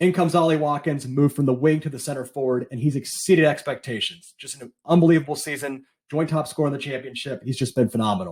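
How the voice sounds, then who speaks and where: A man talks at a very fast pace with an American accent. His fairly high voice sounds somewhat breathy. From United States. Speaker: football podcaster and fan. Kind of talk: recorded fan opinion segment.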